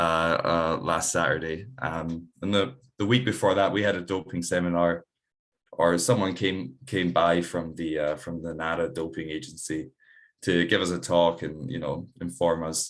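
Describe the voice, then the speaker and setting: With a Scottish accent, a man speaks at a moderate pace in a very deep, low pitch, his intonation fairly even. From Scotland. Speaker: amateur rugby player. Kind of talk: casual interview chat. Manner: halting, many fillers.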